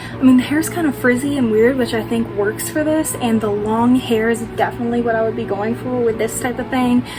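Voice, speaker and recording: Fairly quick female speech amid clearly audible background noise and room echo. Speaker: makeup tutorial youtuber. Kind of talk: tutorial. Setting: at home at night.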